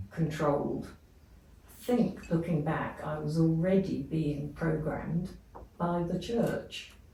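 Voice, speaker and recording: There's audible room echo as a woman speaks very slowly in a fairly low pitch. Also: ordinary pitch variation. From England. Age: 80s+. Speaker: abuse survivor. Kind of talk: testimony.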